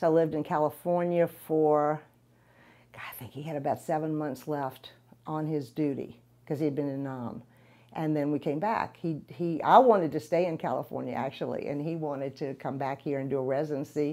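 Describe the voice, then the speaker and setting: In a New Orleans accent, the voice moves at a fairly quick pace with a dark, mellow tone and fairly even intonation. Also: woman, very deep, low pitch for a woman. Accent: New Orleans Southern. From New Orleans, uptown. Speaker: realtor; interviewee. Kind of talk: interview. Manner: halting, many fillers. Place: office. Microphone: lapel.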